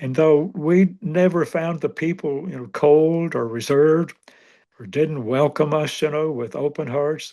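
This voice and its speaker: A man with an American accent speaks fairly slowly in a dark, mellow tone. His loudness swings a lot, while his pitch varies in an ordinary way. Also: fairly high pitch for a man, quiet background. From western Kentucky, US. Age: 90s. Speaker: retired pastor and church planter. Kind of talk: interview conversation.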